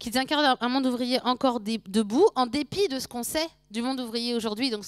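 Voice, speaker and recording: In a very clean recording with a silent background, a woman with a high pitch talks at a fairly quick pace, the sound dry and close with no echo. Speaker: sociology lecturer. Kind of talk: lecture.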